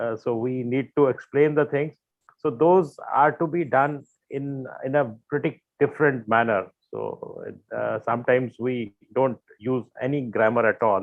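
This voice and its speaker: A man with an Indian accent and ordinary pitch variation. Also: medium pitch for a man, fairly slow pace. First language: Hindi. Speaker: panelist. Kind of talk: casual chat. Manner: halting, many fillers.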